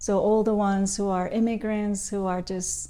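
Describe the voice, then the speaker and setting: A woman's medium-pitched, dark and mellow voice, monotone and flat, at a fairly slow pace on a very clean recording with a silent background. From Mexico, Tijuana. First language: Spanish. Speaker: designer. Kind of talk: interview conversation.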